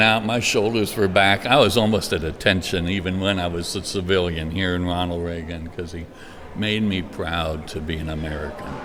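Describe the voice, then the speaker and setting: A man with a very deep, low pitch, ordinary pitch variation and a moderate pace, over noticeable background noise. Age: 60s. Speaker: pastor; Air Force veteran. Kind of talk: interview answer.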